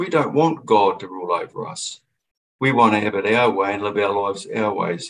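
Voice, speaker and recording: A man with a New Zealand accent, fairly low-pitched and fairly quick. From New Zealand, Christchurch. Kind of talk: radio interview.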